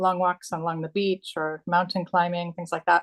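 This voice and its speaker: A woman speaks at a very fast pace with a fairly low pitch and monotone, flat intonation. The sound is dry and close with no echo, over a quiet background. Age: 60s. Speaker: coaching client sharing testimonial. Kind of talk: testimony. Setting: live video stream. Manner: halting, many fillers.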